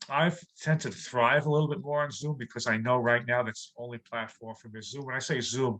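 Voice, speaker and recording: Speaking fairly quickly with hardly any pauses, a man has a New York accent and a medium pitch. His tone is bright and sharp, and his loudness swings widely. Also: ordinary pitch variation. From New York City. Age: 60s. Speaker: comedian. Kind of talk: interview.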